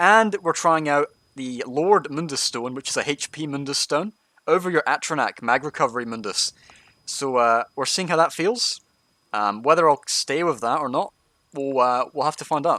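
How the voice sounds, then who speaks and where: Bright and sharp in tone, a man's fairly high voice moves at a moderate pace with lively intonation and a dry, close sound with no echo. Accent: Scottish. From Scotland. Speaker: gaming streamer, tank guide. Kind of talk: live gameplay stream with commentary and chat. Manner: casual, conversational.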